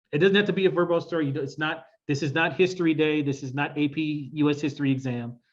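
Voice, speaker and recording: In a Midwestern accent, the somewhat breathy voice goes at a very fast pace with an animated tone and ordinary pitch variation, over a quiet background. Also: man. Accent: Midwest. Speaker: workshop facilitator. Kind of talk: workshop presentation.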